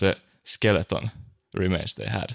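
A man with a Finnish accent and a fairly low pitch speaks in a monotone, flat intonation, in a very clean recording with a silent background and a dry, close sound with no echo. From Finland. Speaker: podcast co-host. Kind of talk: casual chat.

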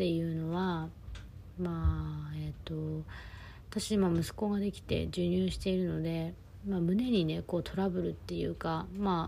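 A woman talks at a fairly slow pace amid audible room echo. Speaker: podcast host and life coach. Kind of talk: casual monologue. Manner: animated.

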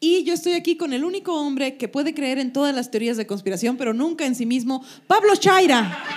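The voice moves at a fairly quick pace with lively intonation. Noticeable background noise can be heard. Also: woman, high pitch for a woman. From Sonora, Mexico. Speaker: comedian, podcast co-host. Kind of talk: live comedy podcast chat. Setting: live show with audience.

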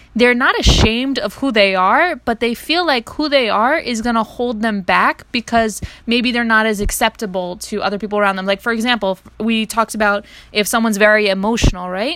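Against noticeable background noise, a woman speaks at a fairly quick pace in a fairly high pitch with ordinary pitch variation. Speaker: podcast co-host. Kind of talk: interview.

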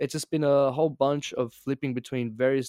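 A man talks with an Australian accent. The sound is dry and close with no echo, and the recording is very clean with a silent background. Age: 20s. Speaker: podcast guest. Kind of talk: casual chat. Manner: very fast; animated.

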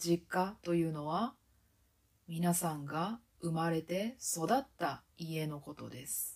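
A woman talks very slowly at a fairly low pitch. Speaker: Japanese language teacher, podcast host. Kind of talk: podcast monologue for Japanese learners. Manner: slow, clear speech for learners.

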